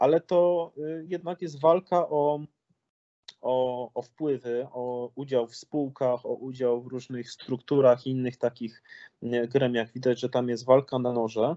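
Delivered at a fairly slow pace, a man's medium-pitched voice keeps fairly even intonation but shows big swings in loudness. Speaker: former member of parliament and entrepreneur. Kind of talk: political interview. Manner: hesitant, with repetitions.

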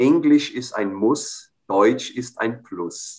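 A man speaks at a very slow pace. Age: 40s. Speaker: cultural institute director, interviewer. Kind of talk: interview. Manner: formal.

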